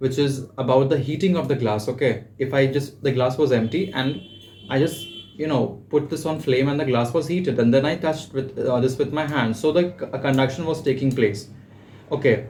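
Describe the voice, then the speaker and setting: A man's medium-pitched voice with ordinary pitch variation, a fairly quick pace and audible room echo. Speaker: personal tutor. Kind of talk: tutorial. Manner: halting, frequent fillers.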